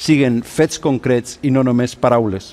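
A man's fairly slow speech with ordinary pitch variation. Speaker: politician. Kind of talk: prepared political statement read on TV. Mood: solemn, conciliatory. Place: studio. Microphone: lapel.

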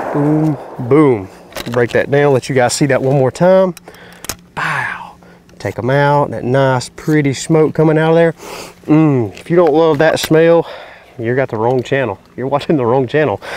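In a Southern US accent, a moderate pace broken by long, frequent pauses, with ordinary pitch variation and a dry sound with no echo. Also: man, fairly high pitch for a man. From North Carolina. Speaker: YouTube hunting and gun reviewer; gun reviewer. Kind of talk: product review. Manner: casual, conversational. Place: open country.

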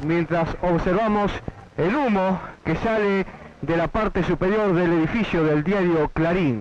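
Delivery comes at a fairly slow pace with ordinary pitch variation. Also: man, high pitch for a man.

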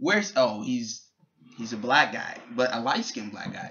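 With an American accent, a man speaks at a moderate pace. Light background noise can be heard. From New York City, Bronx; New York. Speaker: YouTuber. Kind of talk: casual vlog; casual vlog chat. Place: home room. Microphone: webcam.

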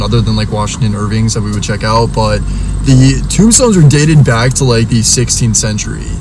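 Noticeable background noise behind a male voice, dry and free of echo. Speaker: vlogger. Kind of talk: casual vlog chat.

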